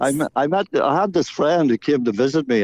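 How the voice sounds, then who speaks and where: Lively intonation marks this voice with a Northern Irish accent, heard against a quiet background in a dry, close sound with no echo. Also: man. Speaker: singer-songwriter and actor. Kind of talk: radio interview. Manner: halting.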